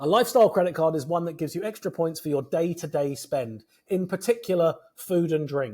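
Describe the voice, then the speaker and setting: A man speaks at a fairly quick pace with a high pitch. His intonation is lively. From Britain. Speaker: credit card points expert. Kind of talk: interview. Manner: fast.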